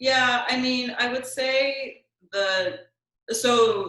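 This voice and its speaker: A woman speaks in a soft-spoken way. Audible room echo surrounds her voice. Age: 30s. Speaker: lawyer. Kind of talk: interview.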